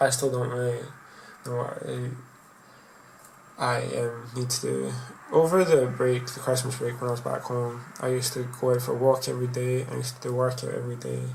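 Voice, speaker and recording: A man talks in a relaxed tone at a fairly quick pace, broken by long, frequent pauses, with noticeable background noise behind him. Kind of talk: casual talk to camera. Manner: relaxed, rambling.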